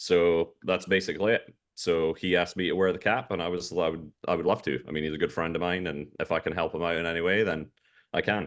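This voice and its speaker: Talking at a very fast pace against a quiet background, a man with a Scottish accent uses a very deep, low pitch and fairly even intonation. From Scotland. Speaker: golf caddy. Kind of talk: interview. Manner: halting.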